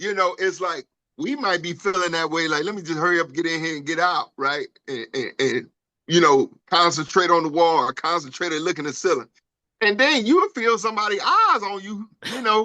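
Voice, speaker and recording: A man with a high-pitched, bright, sharp tone, fairly quick pace and lively intonation. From Detroit, US Midwest. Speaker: podcast co-host, navy veteran. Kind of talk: casual chat.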